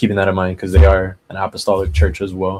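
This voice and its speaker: Music plays in the background behind a man. His fairly low voice keeps a fairly even intonation. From Hawaii. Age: 20s. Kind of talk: interview.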